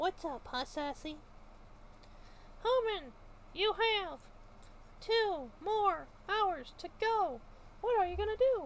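In a put-on character voice at an extremely high pitch, the speaker goes at a fairly slow pace with long, frequent pauses over clear background noise. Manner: sassy, teasing.

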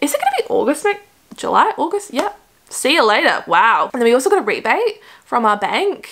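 Over a quiet background, a woman speaks in an Australian accent at a fairly quick pace with an animated tone. Her pitch is extremely high and swings very widely. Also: very even loudness. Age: 20s. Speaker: YouTuber. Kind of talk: casual vlog chat. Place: home room.

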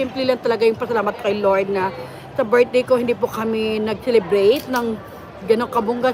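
A woman with a fairly high voice speaks at a fairly quick pace and in a fairly even tone, with audible room echo and a crowd murmuring in the background. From Philippines. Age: 50s. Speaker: vlogger. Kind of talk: casual live vlog. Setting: walking in a mall.

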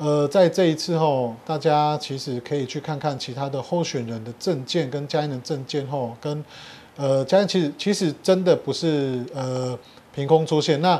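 A man with a dark, mellow tone and a fairly high pitch speaks at a moderate pace, his pitch varying in an ordinary way. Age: young. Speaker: mayoral candidate, local politician; candidate, local politician. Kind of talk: political interview. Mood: earnest campaign appeal. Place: home room.

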